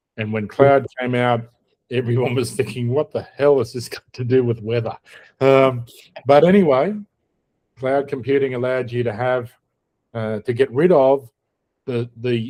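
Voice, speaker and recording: With an Australian accent, a man talks at a moderate pace. His voice sits at a medium pitch with a dark, mellow tone. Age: old. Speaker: podcast host. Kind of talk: casual chat.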